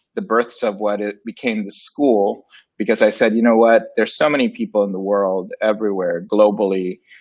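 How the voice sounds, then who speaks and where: A man with a Spanish accent at a moderate pace, with ordinary pitch variation. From Puerto Rico / Dominican Republic. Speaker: graphic designer and agency founder. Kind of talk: interview. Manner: casual, many fillers.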